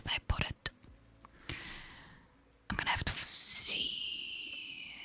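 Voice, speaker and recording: Someone whispers over noticeable background noise. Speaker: ASMR streamer. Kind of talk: casual live stream chat. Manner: soft-spoken.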